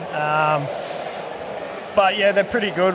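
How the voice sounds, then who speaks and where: Noticeable background noise and audible room echo surround a man speaking with a rural Australian accent. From rural northern Victoria, Australia. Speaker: brewer. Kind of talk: casual chat. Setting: outdoors.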